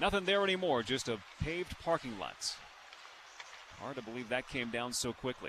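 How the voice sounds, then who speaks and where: Over noticeable background noise, a man talks at a moderate pace with very wide pitch swings and long, frequent pauses. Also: medium pitch for a man. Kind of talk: live radio play-by-play hockey commentary, with sponsor reads dropped in between plays.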